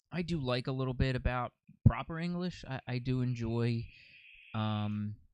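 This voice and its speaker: Using an ordinary speaking voice with an American accent, a man talks at a moderate pace and medium pitch with ordinary pitch variation. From United States. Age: 30s. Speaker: podcast host. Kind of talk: casual chat. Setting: studio couch.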